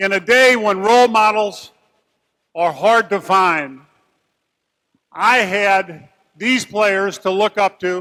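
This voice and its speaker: In an American accent, a raised, projected voice with a bright, sharp tone moves at a very slow pace, with ordinary pitch variation and long, frequent pauses. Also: man, high pitch for a man. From US Midwest, St. Louis. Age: 60s. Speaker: retired basketball player. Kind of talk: acceptance speech.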